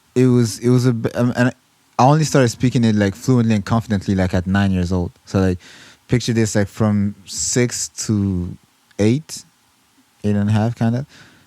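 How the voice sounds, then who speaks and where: The sound is dry and close, with no echo, and the tone is dark and mellow. The speaker has a French accent, keeps the loudness very even, and moves at a moderate pace with ordinary pitch variation. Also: man, fairly low pitch for a man. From Rwanda. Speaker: musician. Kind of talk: casual chat.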